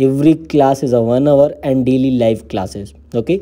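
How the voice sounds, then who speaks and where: A man with an Indian accent, medium pitch, a dark, mellow tone, ordinary pitch variation and a moderate pace. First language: Hindi. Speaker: embroidery teacher. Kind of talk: tutorial. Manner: halting.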